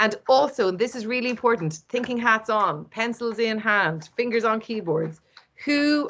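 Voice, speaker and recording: A woman talks at a moderate pace with a fairly high pitch and an animated tone. Her intonation is lively. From Ireland, East Cork. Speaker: event host. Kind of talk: online event presentation.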